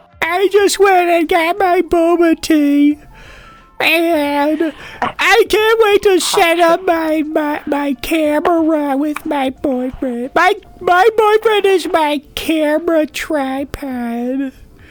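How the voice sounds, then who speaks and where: In a cartoonish character voice, a man talks very slowly at an extremely high pitch while faint music plays in the background. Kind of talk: cartoonish, young girl style.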